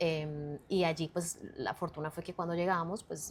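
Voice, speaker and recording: Recorded very cleanly against a silent background, a woman speaks at a fairly low pitch in a Colombian accent. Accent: Colombian accent, kept deliberately. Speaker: communicator and personal brand expert. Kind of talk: interview. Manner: halting.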